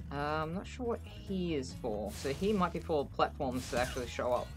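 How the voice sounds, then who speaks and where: A man talks at a moderate pace. Behind him, music can be heard. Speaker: gaming youtuber. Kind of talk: gameplay commentary.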